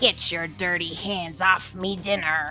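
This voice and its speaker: In a raspy, growling put-on character voice, a female-sounding speaker talks at a fairly slow pace with fairly low pitch while clear music plays in the background. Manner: loud, expressive.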